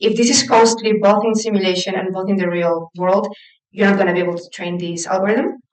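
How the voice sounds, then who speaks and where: At a fairly quick pace, a woman speaks at medium pitch with fairly even intonation. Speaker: lecturer in AI for particle accelerators. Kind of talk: lecture. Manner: fast.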